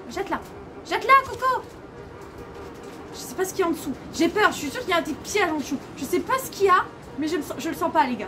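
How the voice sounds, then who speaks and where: A woman talks in a raised, projected voice at a very fast pace, with music in the background. Her pitch swings very widely and her loudness swings a lot. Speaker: gamer streamer. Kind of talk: gameplay commentary. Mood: nervous, scared. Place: home room.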